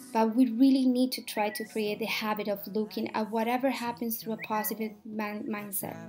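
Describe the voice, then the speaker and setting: Monotone, flat delivery at a fairly quick pace with hardly any pauses, a Colombian accent, and music in the background. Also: woman, fairly high pitch for a woman. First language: Spanish. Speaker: speaker sharing life story. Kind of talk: personal speech.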